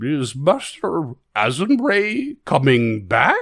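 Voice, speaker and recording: A man uses a put-on character voice at a fairly high pitch. He speaks at a very slow pace. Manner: hopeful, wistful.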